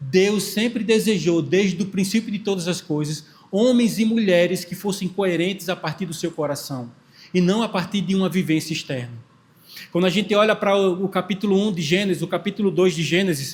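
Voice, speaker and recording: Ordinary pitch variation at a moderate pace. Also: man. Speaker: pastor. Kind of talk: sermon.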